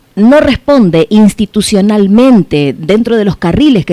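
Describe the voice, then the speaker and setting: Here a woman has a dark, mellow tone at medium pitch. Her intonation is lively, and the sound is dry and close with no echo. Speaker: radio host. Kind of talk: radio interview. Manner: hesitant, many fillers.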